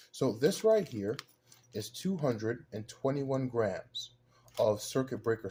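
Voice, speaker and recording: With a dark, mellow tone, a man speaks at a moderate pace and medium pitch, somewhat breathy, his intonation lively. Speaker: dumpster diving and scrap metal video creator. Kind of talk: casual tutorial unboxing. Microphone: camera's built-in microphone.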